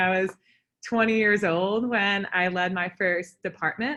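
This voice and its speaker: Against a quiet background, a woman with an American accent speaks in a bright, sharp, medium-pitched voice. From Vermont, US. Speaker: entrepreneur. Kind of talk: presentation.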